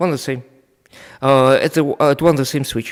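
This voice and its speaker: On a very clean recording with a silent background, a man with a Russian accent speaks at a medium pitch. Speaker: network equipment trainer. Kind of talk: live technical demonstration. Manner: halting, many fillers.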